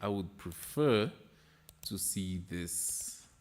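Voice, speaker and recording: This man has a non-native accent. His pitch sits fairly low. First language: not English. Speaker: trading livestreamer. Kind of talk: casual livestream market analysis. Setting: live stream with chat.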